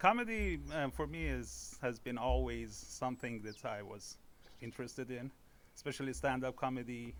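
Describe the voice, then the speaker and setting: Here a man speaks in an Iranian accent. His pace is moderate. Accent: Iranian (Persian) accent in English. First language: Persian. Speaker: amateur stand-up comedian. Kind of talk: podcast interview. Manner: halting, many fillers.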